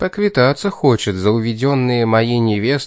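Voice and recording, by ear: This speaker is reading aloud in a natural voice, and the pitch varies an ordinary amount.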